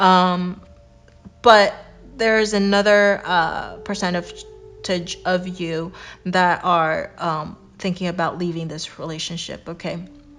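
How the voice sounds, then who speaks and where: Music plays in the background as a woman speaks at a very slow pace in a medium pitch. Her intonation is monotone and flat, and her loudness swings widely. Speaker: tarot reader. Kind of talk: tarot reading to camera.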